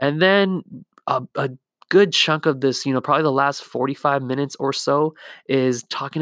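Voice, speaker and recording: A man with a Southern Californian accent at a moderate pace with ordinary pitch variation, on a very clean recording with a silent background and a dry, close sound with no echo. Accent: Southern California American. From Whittier, California. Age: 20s. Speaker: podcast host and therapist. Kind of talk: casual interview chat.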